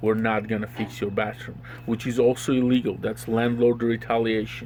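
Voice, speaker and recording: With a strong Slavic accent, a man talks at a moderate pace and medium pitch in a monotone, flat intonation amid noticeable background noise. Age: 30s. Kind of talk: interview answer.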